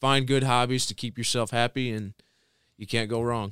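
The voice carries a Midwestern American accent and a bright, sharp tone. Its intonation stays fairly even. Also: man. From Michigan, Tecumseh. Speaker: college football player and ROTC cadet. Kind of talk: casual interview.

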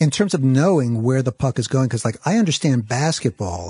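Against a quiet background, a man speaks fairly quickly at a medium pitch, his somewhat breathy voice dark and mellow in tone with lively intonation, the sound dry and close with no echo. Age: 50s. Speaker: TV interviewer. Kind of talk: interview. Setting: studio.

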